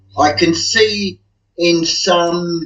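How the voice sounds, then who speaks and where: A man talks with an Australian accent. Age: 60s. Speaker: guest commentator. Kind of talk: casual chat.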